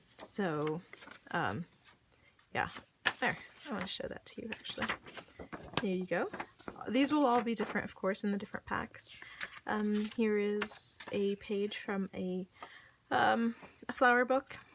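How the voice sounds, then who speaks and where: A woman speaks at a fairly slow pace and a fairly high pitch, with ordinary pitch variation. She leaves long, frequent pauses, and background noise is noticeable. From Saudi Arabia. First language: Arabic (at one time). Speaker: crafter selling handmade journal kits. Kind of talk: casual product show-and-tell. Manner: hesitant, many fillers; enthusiastic.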